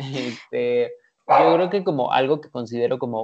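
A fairly slow pace in a Mexican accent. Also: man. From Mexico. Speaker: entrepreneur. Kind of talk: casual chat.

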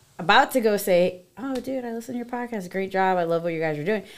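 In an American accent, a woman speaks at a medium pitch with ordinary pitch variation in an unremarkable speaking voice. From Connecticut, Hartford area. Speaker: esthetician. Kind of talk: casual chat.

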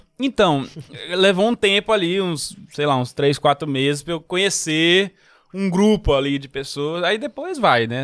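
Lively intonation marks this man's speech. The sound is dry and close, with no echo. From São Paulo, Brazil, moved to Recife at 15. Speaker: comedian. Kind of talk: casual chat.

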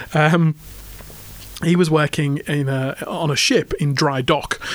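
A man with an English accent and a fairly high pitch speaks with ordinary pitch variation over noticeable background noise. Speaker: podcast co-host. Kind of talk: casual banter chat. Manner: stutters a little, halting at times.

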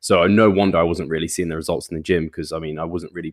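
Recorded very cleanly with a silent background and a dry, close sound with no echo, a man talks in a very deep, low pitch with monotone, flat intonation. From England. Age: 20s. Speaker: personal trainer and bodybuilder. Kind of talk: casual interview.

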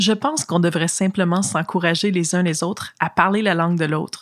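A woman with an unremarkable speaking voice and ordinary pitch variation. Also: very clean recording, silent background. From British Columbia, Canada. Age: young. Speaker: youth delegate. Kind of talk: testimony.

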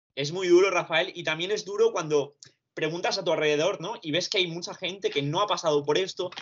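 A man with a high voice talks at a fairly quick pace, his intonation fairly even. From Barcelona, Spain (born in Romania, moved at two). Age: 20s. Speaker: university student recovering from anxiety. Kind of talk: testimony.

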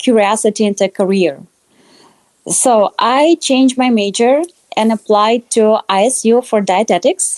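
In a Russian accent, a woman speaks fairly slowly at a fairly high pitch with ordinary pitch variation, and the sound is dry and close with no echo. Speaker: dietetics student. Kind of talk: interview. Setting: podcast.

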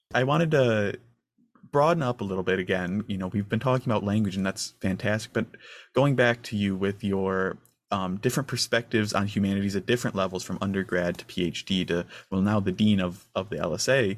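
A man's plain, everyday voice, fairly low in pitch, at a fairly quick pace with ordinary pitch variation, in a very clean recording with a silent background. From northern Michigan. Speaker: student intern interviewer. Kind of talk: interview. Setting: in-person conversation.

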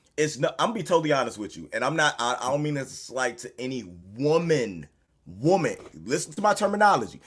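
Talking at a very fast pace, a man with a fairly high pitch uses lively intonation and vocal fry, his loudness swinging widely. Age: 30s. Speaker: podcast co-host. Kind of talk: casual chat. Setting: video call.

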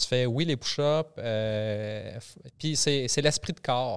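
It is a plain, everyday voice with ordinary pitch variation, captured on a very clean recording with a silent background. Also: man. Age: 40s. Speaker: army reservist and personal development enthusiast. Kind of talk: casual chat. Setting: studio.

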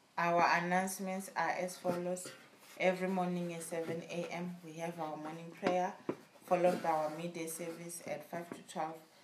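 Over noticeable background noise, a woman speaks at a fairly low pitch in monotone, flat intonation, with big swings in loudness. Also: moderate pace. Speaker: church service assistant. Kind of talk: reading aloud testimony, announcements and scripture. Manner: formal, measured reading.

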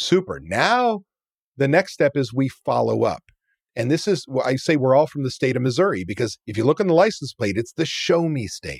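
Using vocal fry, a man with a fairly high pitch speaks at a moderate pace with very wide pitch swings, the sound dry and close with no echo. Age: 50s. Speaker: restaurant business coach. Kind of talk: interview.

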